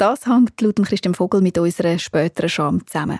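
In a Swiss accent, a woman speaks at a moderate pace with a dark, mellow tone and ordinary pitch variation, recorded very cleanly against a silent background with a dry, close sound and no echo. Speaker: radio journalist. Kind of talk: radio feature narration.

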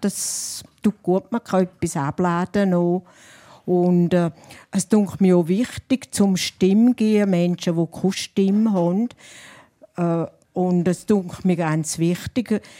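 A woman with a Rhine Valley Swiss accent speaks very slowly at a medium pitch in a dark, mellow tone, with very even loudness, fairly even intonation, and a dry, close sound with no echo. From St. Gallen Rhine Valley, Switzerland. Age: 70s. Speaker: dialect poet. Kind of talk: panel talk. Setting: live audience.

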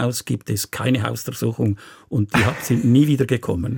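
Somewhat breathy, a man talks at a moderate pace with fairly even intonation in a dry, close sound with no echo. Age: 70s. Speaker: restaurateur and political activist. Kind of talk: radio interview.

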